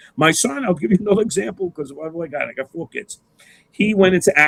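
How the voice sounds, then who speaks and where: A man with a New York accent, heard in a dry, close recording with no echo. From New York City, Queens. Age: 70s. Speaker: engineer. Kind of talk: interview. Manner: halting.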